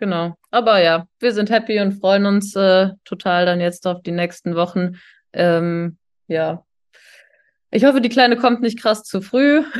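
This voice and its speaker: Over a quiet background, a woman speaks in a plain, everyday voice at medium pitch, fairly slowly, with ordinary pitch variation. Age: 30s. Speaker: engineer. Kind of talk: casual chat.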